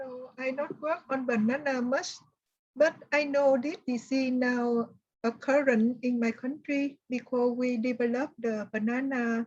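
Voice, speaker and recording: A high-pitched woman's voice with a Vietnamese accent, fairly slow and with fairly even intonation. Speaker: plant disease specialist. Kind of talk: online workshop discussion. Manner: halting.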